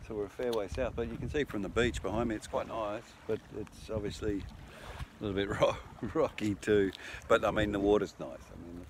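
A man with a fairly low pitch talks at a fairly quick pace with fairly even intonation. The sound is dry with no echo, though background noise is noticeable. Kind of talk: casual vlog chat. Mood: relaxed, amused. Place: beach. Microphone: phone near.

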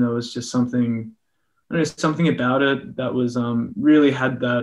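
A man with an Australian accent talks fairly quickly with fairly even intonation. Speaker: musician. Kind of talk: interview answer. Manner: casual, rambling. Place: home room. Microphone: video call.

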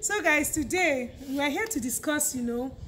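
A woman's high-pitched voice at a moderate pace, with light background noise. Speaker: YouTuber host. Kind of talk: casual vlog chat. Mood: cheerful, laughing. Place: street. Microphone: phone near.

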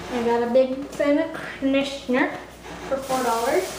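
A woman speaks at a high pitch in a slightly mellow tone, with audible room echo. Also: ordinary pitch variation, moderate pace.

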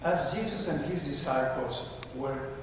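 Strong room echo surrounds the voice, along with light background noise. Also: man. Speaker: priest. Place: church.

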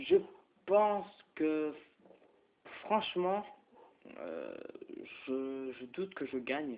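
Very slow pace with long, frequent pauses and lively intonation. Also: man, fairly high pitch for a man. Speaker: gaming youtuber. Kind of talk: gameplay commentary. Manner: halting; animated.

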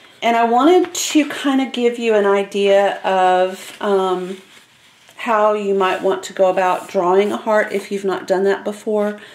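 The speech moves at a fairly slow pace with ordinary pitch variation, and room echo is audible. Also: woman. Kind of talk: tutorial. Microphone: camera far.

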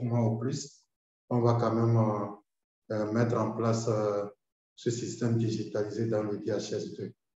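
A man speaks very slowly in a monotone, flat delivery that is somewhat breathy. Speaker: doctor. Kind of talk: webinar presentation.

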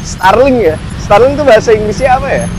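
A man at a fairly quick pace with ordinary pitch variation, dry sound with no echo, noticeable background noise. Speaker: vlogger host. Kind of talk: casual vlog chat. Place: street. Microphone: lapel.

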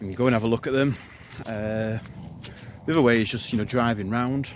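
Over noticeable background noise, a man talks at a very fast pace in a dry sound with no echo. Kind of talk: casual vlog tutorial. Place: open country. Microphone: phone near.

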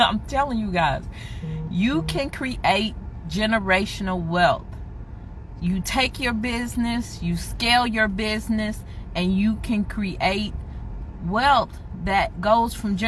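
Music plays in the background as a woman speaks very slowly, with long, frequent pauses. The sound is dry with no echo, and her pitch varies in an ordinary way. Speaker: business owner vlogger. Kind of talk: casual vlog chat. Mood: proud, emotional, joking. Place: car. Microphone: phone near.

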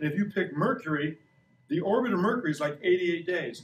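The man here has a high-pitched voice. His speech echoes audibly off the room. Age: 60s. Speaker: science educator visiting a school class. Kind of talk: classroom lesson for children. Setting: elementary school classroom. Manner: animated. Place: classroom. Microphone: camera far.

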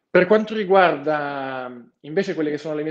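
A man's unremarkable speaking voice, fairly high in pitch, over a quiet background. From Turin, Italy. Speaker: finance graduate trainee. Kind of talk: webinar talk. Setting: video call. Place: office. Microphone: earbuds.

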